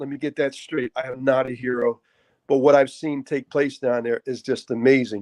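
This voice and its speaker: A man with a Philadelphia accent at a moderate pace, the sound dry and close with no echo. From Philadelphia, Kensington. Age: 60s. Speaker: pastor and boxing coach. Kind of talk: interview.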